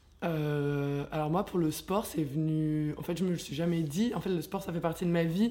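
A woman speaks at a moderate pace with hardly any pauses, a fairly low pitch, ordinary pitch variation and a dark, mellow tone. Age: 20s. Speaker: dancer and yoga teacher. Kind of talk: casual chat.

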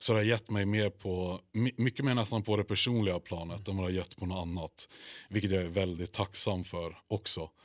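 In a very clean recording with a silent background and a dry, close sound with no echo, a man with an unremarkable speaking voice talks at a fairly quick pace in a fairly low pitch. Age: 20s. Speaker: bodybuilder. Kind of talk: casual chat.

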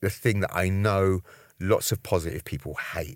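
This man's voice sits at a fairly low pitch. The recording is very clean and the background silent. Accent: London. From London, Brixton, Jamaican family. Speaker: HIV activist and coach. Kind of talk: interview.

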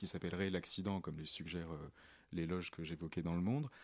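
A man talks on a very clean recording against a silent background. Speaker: radio co-host.

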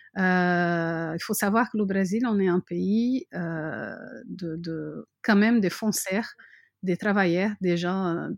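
A woman speaks very slowly at a medium pitch with fairly even intonation, on a very clean recording with a silent background. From Brazil. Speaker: mother living abroad. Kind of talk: interview. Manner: halting, many fillers and repetitions.

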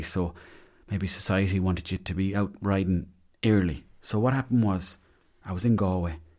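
A man with a west of Ireland accent, a very deep, low pitch, a dark, mellow tone and fairly even intonation, on a very clean recording with a silent background. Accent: west of Ireland Irish. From Mayo, west of Ireland. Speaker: podcast host. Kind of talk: casual storytelling monologue.

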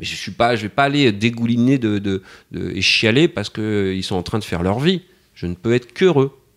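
Speaking at a moderate pace, a man of medium pitch uses lively intonation on a very clean recording with a silent background. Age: 50s. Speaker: father of four. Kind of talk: interview testimony. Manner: halting, repeats words.

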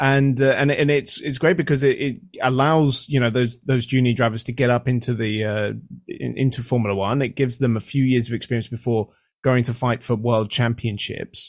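Over a very clean recording with a silent background, a man in an ordinary speaking voice speaks fairly quickly at medium pitch with fairly even intonation. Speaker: motorsport podcaster. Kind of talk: casual chat.

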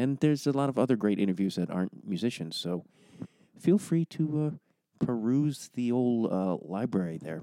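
A man speaks quietly at a moderate pace and medium pitch. His tone is dark and mellow, and his intonation lively. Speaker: podcast host. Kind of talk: podcast intro monologue. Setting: home recording. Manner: hushed, quiet.

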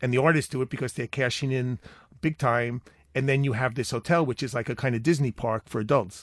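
In a slight Long Island accent, a man talks at a very fast pace and medium pitch with fairly even intonation. The recording is very clean with a silent background and a dry, close sound with no echo. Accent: Long Island New York, slight. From Long Island, US. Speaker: art writer and curator. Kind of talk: casual interview chat. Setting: studio.

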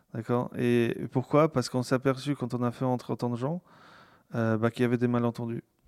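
A man talks at a medium pitch and a fairly quick pace with fairly even intonation. The sound is dry and close, with no echo. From Poland. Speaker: tech company founder. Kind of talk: interview conversation. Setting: home. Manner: halting, frequent repetitions.

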